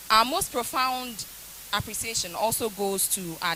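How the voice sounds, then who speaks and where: Lively intonation marks a woman speaking with a Ghanaian accent over noticeable background noise. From Ghana, Akuapem. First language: Akuapem Twi. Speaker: university lecturer. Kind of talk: vote of thanks speech. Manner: formal.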